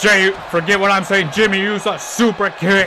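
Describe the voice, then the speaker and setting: A man speaks against noticeable background noise. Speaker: gaming youtuber doing wrestling commentary. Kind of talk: live play-by-play commentary of a video game match. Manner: stumbling, stutters.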